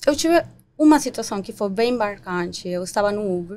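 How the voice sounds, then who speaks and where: With lively intonation and a Spanish accent, a woman speaks at a moderate pace on a very clean recording with a silent background. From Paraguay. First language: Spanish (speaking Portuguese). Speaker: community leader. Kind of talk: podcast interview.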